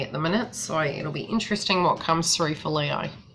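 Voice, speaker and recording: At a moderate pace, a woman speaks in a fairly low pitch over noticeable background noise. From New Zealand. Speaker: psychic tarot reader. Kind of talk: live-stream astrology reading with chat. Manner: casual, rambling with fillers.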